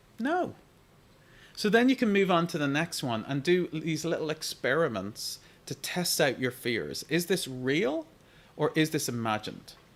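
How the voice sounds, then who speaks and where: In an Irish accent, a man talks at a moderate pace and a fairly high pitch, animated in tone, with very wide pitch swings. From Ireland. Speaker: digital marketing coach. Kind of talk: live Q&A stream. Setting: live stream.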